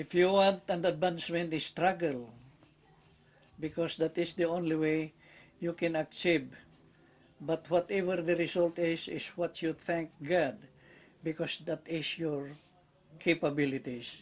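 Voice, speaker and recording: Pausing long and often, a man with a Filipino accent and a high pitch speaks at a fairly slow pace with fairly even intonation. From Philippines. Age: 80s+. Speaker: war veteran. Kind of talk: interview. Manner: halting.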